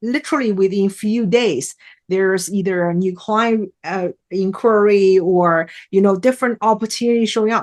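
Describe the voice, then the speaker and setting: A woman's medium-pitched voice with a non-native accent, ordinary pitch variation, a dry, close sound with no echo, and a quiet background. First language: not English. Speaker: mindset trainer and keynote speaker. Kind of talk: podcast interview.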